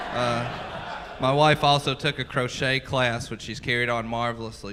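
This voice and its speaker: Someone speaks with a Southern US accent and fairly even intonation. Noticeable background noise runs behind. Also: man. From US South, Mississippi. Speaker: stand-up comedian. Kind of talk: stand-up. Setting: comedy club stage with audience.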